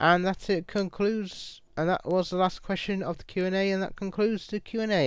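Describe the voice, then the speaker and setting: A man's high-pitched voice with a British accent, at a fairly quick pace. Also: very clean recording, silent background. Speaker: YouTuber. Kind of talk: Q&A video monologue. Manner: halting, repetitive.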